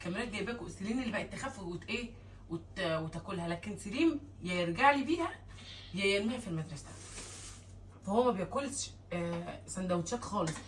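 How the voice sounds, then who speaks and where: Amid noticeable background noise and audible room echo, a woman talks at a fairly quick pace with lively intonation. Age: 20s. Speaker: vlogger and mother. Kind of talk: casual vlog chat.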